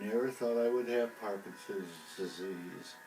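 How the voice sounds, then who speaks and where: A man's fairly low voice at a fairly slow pace, with ordinary pitch variation, audible room echo and music in the background. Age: 70s. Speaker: Parkinson's disease patient. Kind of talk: interview. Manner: halting.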